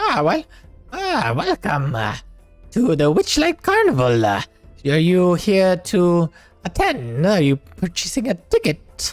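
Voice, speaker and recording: A man's put-on character voice, high-pitched and fairly slow, faint music in the background. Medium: actual play. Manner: chatty, showman-like.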